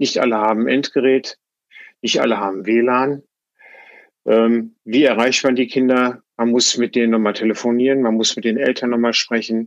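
Monotone and flat, a man's delivery sits at a medium pitch. He keeps a moderate pace. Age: 60s. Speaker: teacher, former civil engineer. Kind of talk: interview. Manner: halting.

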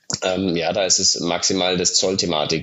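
A man's very deep, low-pitched voice. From Germany, Munich (Bavaria). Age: 30s. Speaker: startup founder. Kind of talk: interview.

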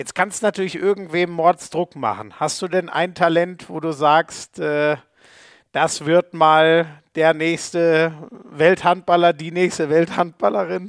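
Recorded very cleanly against a silent background with a dry, close sound and no echo, a man speaks very slowly at a high pitch with ordinary pitch variation. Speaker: podcast host and handball commentator. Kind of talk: casual interview.

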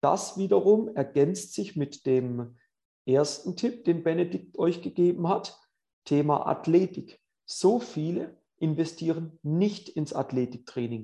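A man talks at a very slow pace in a high pitch with lively intonation and a dark, mellow tone. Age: 40s. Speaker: tennis coach and podcast host. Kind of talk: casual interview with tips. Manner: animated.

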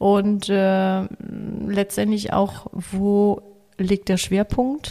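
Here a woman talks. Her voice lands at a medium pitch. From Italian, raised in Africa. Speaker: coach for children and families. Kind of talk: interview. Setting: at a kitchen table. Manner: hesitant with fillers.

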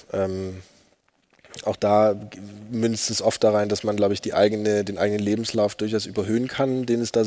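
This man speaks at a fairly low pitch. His intonation is monotone and flat. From eastern Germany, Upper Lusatia (Saxony). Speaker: writer. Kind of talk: panel discussion before live audience. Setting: stage with audience.

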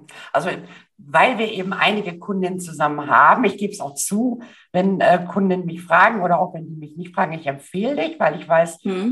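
Using a plain, everyday voice, a woman speaks fairly quickly at medium pitch with ordinary pitch variation and big swings in loudness. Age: 50s. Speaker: podcast host and style coach. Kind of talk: interview.

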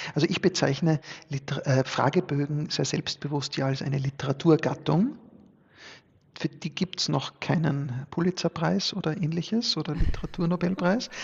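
A man talks at a fairly high pitch and a moderate pace, using an unremarkable speaking voice with ordinary pitch variation. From Austria, Styria (upper Murtal). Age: 40s. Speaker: sociologist and business owner. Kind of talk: podcast interview.

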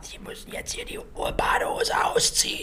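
Whispering, a man performs a put-on character voice. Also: moderate pace. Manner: brusque, commanding.

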